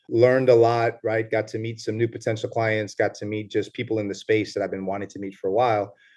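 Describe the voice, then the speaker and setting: In a New York accent, the words come very fast with hardly any pauses and a monotone, flat intonation. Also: man, medium pitch for a man. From New York, the Bronx. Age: 30s. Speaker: lawyer, retired police officer. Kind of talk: casual interview chat. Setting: video call.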